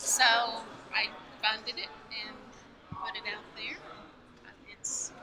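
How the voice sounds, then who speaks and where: A woman with a fairly high voice speaks at a very slow pace, leaving long, frequent pauses. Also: ordinary pitch variation. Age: 60s. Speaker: author. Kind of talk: interview.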